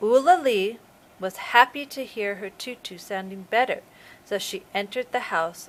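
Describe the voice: Someone reads the text aloud plainly.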